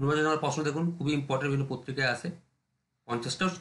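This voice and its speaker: A man speaks at a fairly high pitch. He has an ordinary speaking voice. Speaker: exam prep teacher. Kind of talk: lecture.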